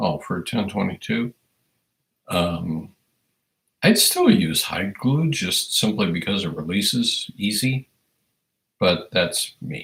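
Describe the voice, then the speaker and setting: This man has an American accent. He talks at a very slow pace. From Iowa, US Midwest. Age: 60s. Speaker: firearms educator, livestream host. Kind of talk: casual livestream chat reading viewer comments. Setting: livestream.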